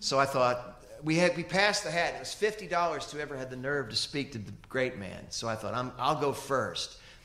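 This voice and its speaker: With an American accent, a man's bright, sharp, fairly high-pitched voice moves at a fairly quick pace with lively intonation and audible room echo. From US South, Kentucky. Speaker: musician; guest. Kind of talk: interview on stage. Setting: stage with audience. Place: stage. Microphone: handheld.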